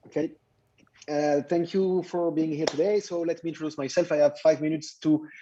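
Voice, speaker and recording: A fairly high-pitched, dark and mellow male voice with a French accent, flat and monotone, at a fairly quick pace. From France. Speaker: startup founder.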